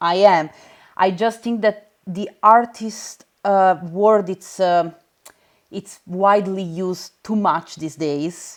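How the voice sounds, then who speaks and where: Speaking very slowly with an Italian accent, a woman of medium pitch keeps her intonation fairly even while her loudness swings widely. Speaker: texture supervisor, VFX artist. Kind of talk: casual interview conversation.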